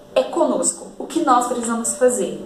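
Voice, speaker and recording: Lively intonation carries this moderately paced speech, with audible room echo and noticeable background noise. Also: woman. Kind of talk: devotional Bible teaching.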